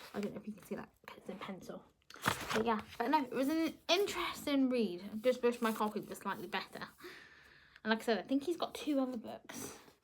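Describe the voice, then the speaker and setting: A woman talks at a fairly quick pace with a fairly high pitch and lively intonation. Her loudness swings widely, and there is noticeable background noise. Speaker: book vlogger. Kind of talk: casual chat. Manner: fast.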